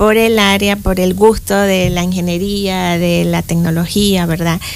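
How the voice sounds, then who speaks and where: A woman at a fairly slow pace with fairly even intonation, against noticeable background noise. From Panama, Boquete (Chiriquí). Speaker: engineering professor. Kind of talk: interview.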